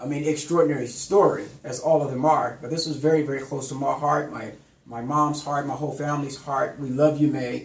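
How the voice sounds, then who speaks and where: Amid noticeable background noise and audible room echo, a man with a fairly high pitch talks at a fairly quick pace with fairly even intonation and big swings in loudness. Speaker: talk show host. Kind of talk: interview.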